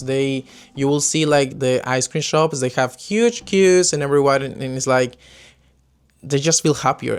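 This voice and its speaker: A man speaks in a Spanish accent. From Peru. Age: 20s. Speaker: expat podcaster. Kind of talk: casual talk to camera.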